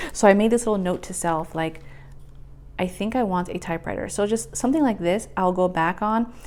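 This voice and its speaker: A woman with a plain, everyday voice talks fairly quickly at a medium pitch with ordinary pitch variation. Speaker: planner video creator. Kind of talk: casual tutorial. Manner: casual with many fillers.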